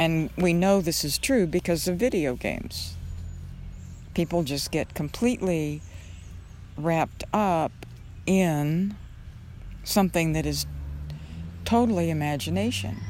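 The woman leaves long, frequent pauses. Her delivery is fairly slow. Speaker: meditation teacher. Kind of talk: guided meditation. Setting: outdoors. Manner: slow, soft, calming.

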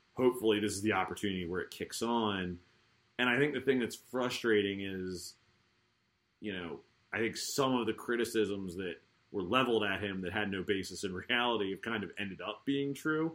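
A man talks at a fairly quick pace in a Baltimore accent. His fairly low voice shows ordinary pitch variation. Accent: Baltimore American. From Baltimore, US. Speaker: podcast host. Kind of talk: casual sports podcast chat. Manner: informal, joking.

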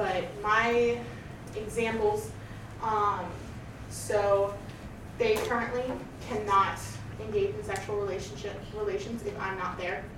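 Over noticeable background noise, a woman speaks at a fairly slow pace, leaving long, frequent pauses. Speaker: polyamory panelist. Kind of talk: panel discussion. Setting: classroom panel with audience. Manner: soft-spoken.

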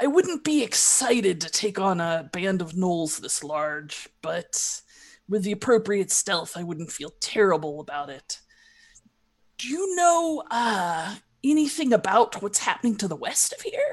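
Against a quiet background, a woman uses a put-on character voice at a medium pitch and a moderate pace. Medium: actual play. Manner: blunt, pragmatic.

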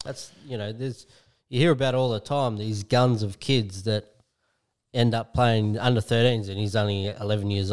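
A man speaks at a moderate pace with an Australian accent and fairly even intonation. The recording is very clean and the background silent. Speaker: podcast co-host. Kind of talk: casual chat.

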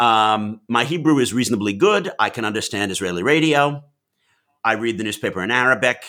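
Bright and sharp, a man's medium-pitched voice carries lively intonation in a very clean recording with a silent background. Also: fairly quick pace. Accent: New York. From US Northeast (New York / Massachusetts). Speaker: Middle East analyst and author. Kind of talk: interview.

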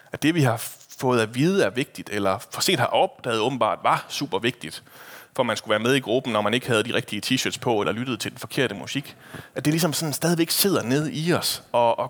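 With lively intonation and a medium pitch, a man talks at a moderate pace. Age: 30s. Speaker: preacher. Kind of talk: sermon. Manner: casual, hesitant with fillers.

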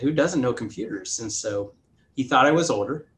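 A man speaks in a somewhat breathy voice. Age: 40s. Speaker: tech company founder and CEO. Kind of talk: interview.

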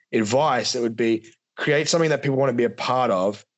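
Fairly quick speech from a man in an ordinary speaking voice, medium-pitched, its pitch varying in an ordinary way. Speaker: business founder. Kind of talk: casual interview chat.

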